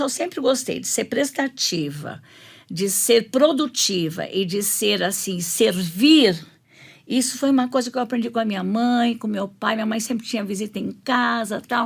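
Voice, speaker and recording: Somewhat breathy speech with lively intonation at a moderate pace. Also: woman, fairly high pitch for a woman. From Brazil, São Paulo. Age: 70s. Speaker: pastor's wife, women's ministry leader. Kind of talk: testimony.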